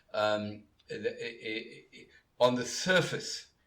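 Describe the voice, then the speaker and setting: A man speaks at a fairly slow pace in a medium pitch, with audible echo from the room. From South Africa, Cape Town. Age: 60s. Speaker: law professor. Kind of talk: interview. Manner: halting, many filler words.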